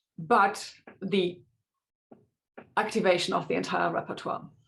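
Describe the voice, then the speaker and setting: Her intonation is monotone and flat, with vocal fry. The woman's pitch is medium. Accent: German. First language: German. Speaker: linguistics researcher. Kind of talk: academic webinar talk. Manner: hesitant with many fillers.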